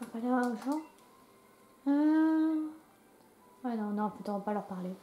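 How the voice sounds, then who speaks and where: A high-pitched woman's voice with lively intonation over noticeable background noise. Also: fairly slow pace. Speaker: gaming YouTuber. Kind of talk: let's play commentary with game text read aloud. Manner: casual, chatty.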